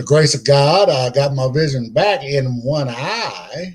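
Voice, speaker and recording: A man with an American accent, his voice fairly high for a man and somewhat breathy. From California. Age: 60s. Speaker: blind interviewee. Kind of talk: interview. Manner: halting, many fillers.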